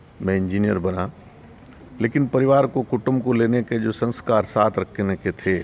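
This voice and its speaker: A man talks at a medium pitch with noticeable background noise behind him. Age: 60s. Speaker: course participant sharing testimony. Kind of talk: testimony. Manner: halting.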